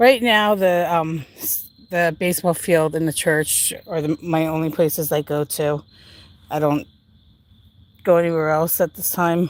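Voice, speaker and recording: Fairly slow and fairly even in intonation, an unremarkable speaking voice comes through on a very clean recording with a silent background. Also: woman, fairly low pitch for a woman. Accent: American. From Pennsylvania, Allentown. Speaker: paranormal investigator livestreamer. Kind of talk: livestream walking commentary. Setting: outdoors at baseball field and church.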